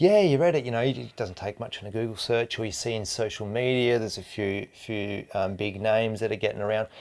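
A man speaks with an Australian accent, hardly pausing at all. The recording is very clean, with a silent background. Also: medium pitch for a man, ordinary pitch variation, fairly quick pace. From Tasmania, Australia. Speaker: fly fishing guide. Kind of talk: casual chat.

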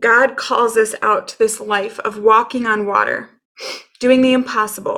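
Bright and sharp in tone, a woman speaks at a fairly slow pace with fairly high pitch and monotone, flat intonation. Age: 30s. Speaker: podcast host. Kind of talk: solo podcast monologue.

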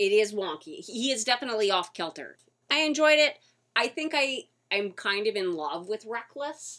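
A woman's fairly high, bright and sharp voice with very wide pitch swings, at a moderate pace, on a very clean recording with a silent background. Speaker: radio host. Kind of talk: casual radio chat. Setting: radio studio. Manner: animated, enthusiastic.

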